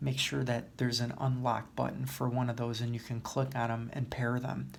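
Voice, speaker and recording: Soft-spoken and somewhat breathy, a man talks at a medium pitch and moderate pace with fairly even intonation, and audible room echo surrounds him. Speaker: YouTuber. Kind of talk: tutorial. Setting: library.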